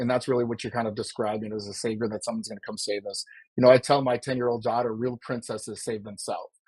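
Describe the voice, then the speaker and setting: A man at a very fast pace, medium in pitch, with monotone, flat intonation. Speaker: political candidate. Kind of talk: casual conversational. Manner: fast talker.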